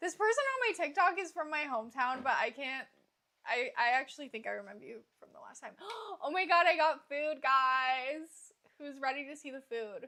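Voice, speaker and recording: A woman with an American accent uses a raised, projected voice that is high-pitched with a bright, sharp tone. Her intonation is lively, her pace moderate, and her loudness swings widely. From US Midwest. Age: 20s. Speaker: live streamer. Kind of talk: casual chat. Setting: livestream.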